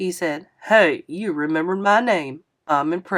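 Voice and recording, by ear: With a quiet background, the clip features reading aloud in a natural voice.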